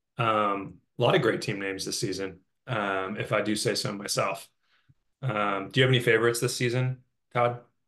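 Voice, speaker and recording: Against a quiet background, a man with a fairly low pitch and bright, sharp tone speaks at a fairly quick pace with ordinary pitch variation and long, frequent pauses. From Italian and Peruvian heritage. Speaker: fantasy football league member. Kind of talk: casual chat.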